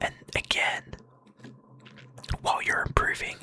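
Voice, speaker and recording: Someone is whispering at a fairly slow pace. Background noise is noticeable. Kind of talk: motivational talk. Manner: whispered, soft-spoken.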